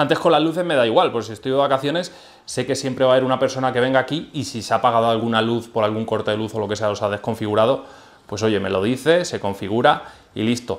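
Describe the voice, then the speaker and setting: This man talks at a very fast pace with ordinary pitch variation. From Spain, Albacete (La Mancha); Spain. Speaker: aquarium YouTuber. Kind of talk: product review tutorial. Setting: home aquarium room. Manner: animated. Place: home room. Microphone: phone near.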